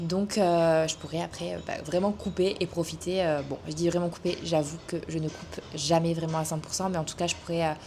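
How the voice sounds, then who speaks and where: Soft-spoken and flat in intonation, a woman with a fairly low pitch talks at a moderate pace with hardly any pauses over noticeable background noise. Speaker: vlogger and online coach. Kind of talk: casual vlog. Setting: outdoors, hot weather. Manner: hesitant, many fillers.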